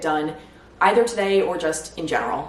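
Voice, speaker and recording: This woman has a fairly low pitch and speaks at a moderate pace. Noticeable background noise can be heard. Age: 30s. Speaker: new YouTuber. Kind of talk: casual vlog talk to camera.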